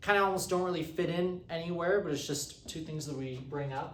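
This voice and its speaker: A man's high-pitched voice with ordinary pitch variation and audible room echo. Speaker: economics teaching assistant. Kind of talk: lecture. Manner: fast; halting, many fillers.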